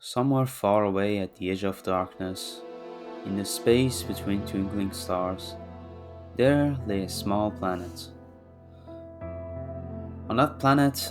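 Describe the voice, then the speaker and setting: A man speaks at a fairly slow pace with a non-native accent and ordinary pitch variation. Music plays in the background. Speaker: manga reviewer. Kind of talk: read story.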